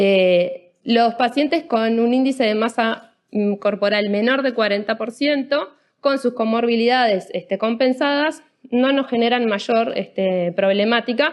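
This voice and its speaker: This is a normal speaking voice with ordinary pitch variation at a fairly slow pace. The loudness stays very even. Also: woman, fairly high pitch for a woman. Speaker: anesthesiologist. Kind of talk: lecture.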